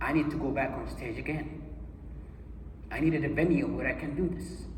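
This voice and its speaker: A man with a Saudi accent at a fairly quick pace, with audible room echo and noticeable background noise. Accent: Saudi Arabian English. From Saudi Arabia, Abha. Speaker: motivational speaker. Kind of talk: motivational keynote speech. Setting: stage with audience. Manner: animated.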